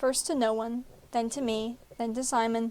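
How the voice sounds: The clip features a natural reading voice.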